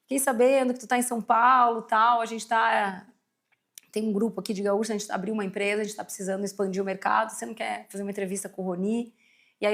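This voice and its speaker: The woman's fairly quick delivery comes in an unremarkable speaking voice, pitched fairly high with ordinary pitch variation. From southern Brazil, Rio Grande do Sul (São Leopoldo, near Porto Alegre). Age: 40s. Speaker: company CEO, market research executive. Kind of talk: podcast interview. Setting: studio.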